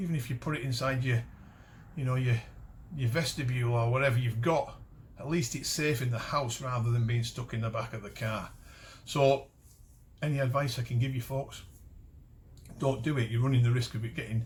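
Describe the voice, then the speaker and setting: A man with a medium pitch and a somewhat breathy voice talks at a fairly quick pace. He leaves long, frequent pauses, and his intonation stays fairly even. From Cumbria, northern England. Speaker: metal detecting channel host. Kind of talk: casual talk to camera. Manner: halting, many false starts and fillers.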